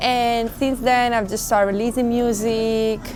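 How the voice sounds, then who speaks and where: A woman speaks at a fairly slow pace in an Italian accent. Audible room echo and noticeable background noise fill the recording. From Italy, Rome. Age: 20s. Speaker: musician. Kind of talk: interview.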